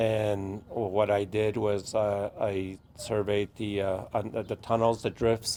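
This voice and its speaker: A man with an American accent speaks very slowly in a fairly low pitch, his intonation monotone and flat. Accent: Navajo English. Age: 60s. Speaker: former uranium miner and community activist. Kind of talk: testimony. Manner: halting.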